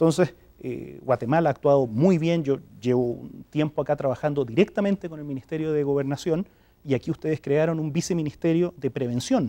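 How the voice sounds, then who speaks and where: Talking at a fairly quick pace with a Chilean accent, a man uses a fairly high pitch, a dark, mellow tone and ordinary pitch variation, recorded dry and close with no echo. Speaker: development agency director. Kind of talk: TV interview.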